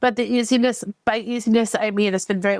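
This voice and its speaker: A woman with a New York accent speaks at a very fast pace in a monotone, flat intonation. The sound is dry and close with no echo. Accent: heavy New York. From New York, USA. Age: 50s. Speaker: writer, former ESL teacher. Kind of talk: podcast interview answer. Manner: casual, conversational.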